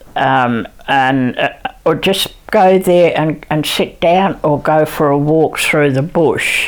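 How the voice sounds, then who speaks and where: Amid noticeable background noise, a woman with a very deep, low pitch speaks at a very slow pace, with very even loudness and ordinary pitch variation. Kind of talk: interview answer. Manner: hesitant, many fillers.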